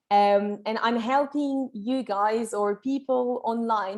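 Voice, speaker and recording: A woman in a French accent, with fairly even intonation. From France. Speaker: English teacher. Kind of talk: online masterclass lecture. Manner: casual, chatty.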